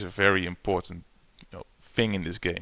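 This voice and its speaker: A man with a non-native accent, fairly low pitch and moderate pace, in a very clean recording with a silent background. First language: not English. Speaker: gaming YouTuber. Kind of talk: gameplay tutorial. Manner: hesitant, many fillers.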